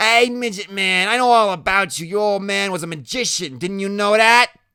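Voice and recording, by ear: Putting on a character voice, a man speaks at a moderate pace with a high pitch, a clear, smooth tone that is also bright and sharp, some vocal fry and ordinary pitch variation.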